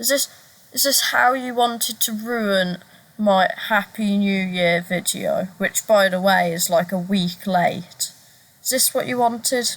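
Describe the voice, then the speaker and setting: A woman speaks with a Brummie accent. Her voice is somewhat breathy and her pace fairly slow. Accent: Brummie (Birmingham). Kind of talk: casual talk to camera.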